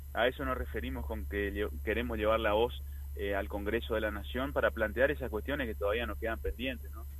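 Talking at a fairly quick pace, a man uses a very deep, low pitch with vocal fry and ordinary pitch variation. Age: 40s. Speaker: politician. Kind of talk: interview. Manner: halting.

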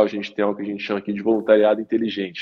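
Flat and monotone, a man's voice sits at a fairly low pitch. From Minas Gerais, Brazil. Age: 30s. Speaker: economist and social entrepreneur. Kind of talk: interview.

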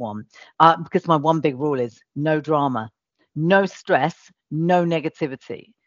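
Lively intonation marks a woman speaking with a British accent. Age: 40s. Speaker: agency founder and CEO. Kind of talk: interview.

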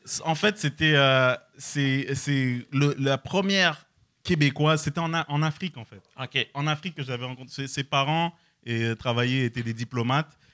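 In a very clean recording with a silent background, a man speaks at a fairly slow pace with a fairly high pitch, a bright, sharp tone, ordinary pitch variation and big swings in loudness, the sound dry and close with no echo. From France. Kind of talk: casual chat.

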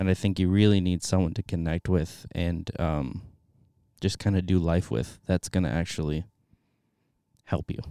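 A man with an American accent speaks at a moderate pace in a very deep, low voice with a dark, mellow tone and fairly even intonation. Long, frequent pauses break up the speech in a dry, close, echo-free recording that is very clean with a silent background. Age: 20s. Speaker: theology student. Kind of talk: interview. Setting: studio.

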